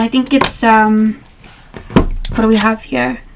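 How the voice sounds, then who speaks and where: Against noticeable background noise, a woman talks at a fairly slow pace in a fairly high pitch. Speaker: tarot reader. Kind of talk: casual talk to camera. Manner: chatty, rambling.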